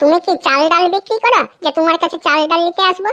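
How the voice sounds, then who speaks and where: Squeaky and extremely high-pitched, a woman performs a cartoonish character voice. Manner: loud, argumentative.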